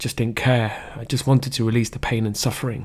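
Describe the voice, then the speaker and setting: A man speaks at a medium pitch with a Leicester accent. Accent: English Midlands (Leicester). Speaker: podcaster sharing personal story. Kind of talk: personal monologue. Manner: halting.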